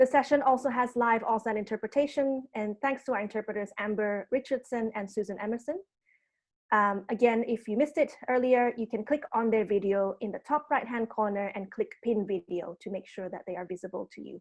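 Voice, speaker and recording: Someone with an Indonesian accent speaks with big swings in loudness against a quiet background. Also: woman, fairly high pitch for a woman, ordinary pitch variation, fairly quick pace. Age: 30s. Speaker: arts program producer and session host. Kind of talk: online panel introduction and housekeeping. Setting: video call.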